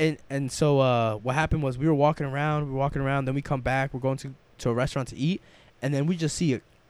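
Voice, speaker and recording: Recorded very cleanly against a silent background, a man talks in a fairly high pitch. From New York, Salvadoran family. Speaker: travel storyteller. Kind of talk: casual chat. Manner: animated.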